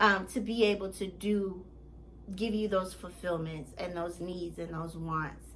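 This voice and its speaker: Audible room echo surrounds a woman speaking at a fairly slow pace in a fairly low pitch with fairly even intonation. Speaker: life coach. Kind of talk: motivational vlog monologue.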